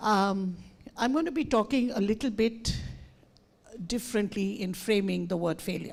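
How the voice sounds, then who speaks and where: Vocal fry runs through this voice, which moves at a moderate pace with lively intonation. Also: woman. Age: 70s. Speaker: educator and speaker. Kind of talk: conference talk. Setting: stage with audience.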